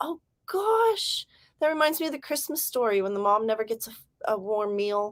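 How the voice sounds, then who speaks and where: A woman's animated, fairly high voice with an American accent, at a moderate pace, with lively intonation in a dry, close sound with no echo. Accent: California accent shifting toward Southern. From Southern California. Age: 40s. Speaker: livestreamer and author. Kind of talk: casual livestream chat.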